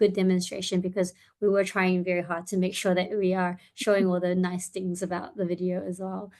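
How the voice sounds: The woman's voice is fairly low in pitch with a slightly mellow tone. She talks at a fairly quick pace in a monotone, flat intonation.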